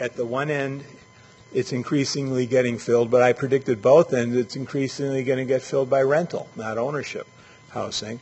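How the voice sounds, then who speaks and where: Noticeable background noise sits under a man speaking at a fairly quick pace. His pitch is medium and his intonation fairly even. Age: 60s. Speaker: urban planning expert. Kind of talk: lecture. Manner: halting, with many fillers.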